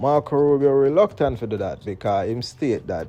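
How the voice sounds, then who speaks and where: At a fairly quick pace, a man with a Jamaican accent talks in a dark, mellow tone. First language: Jamaican Patois. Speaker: political commentator. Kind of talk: commentary monologue. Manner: mixes standard English and patois.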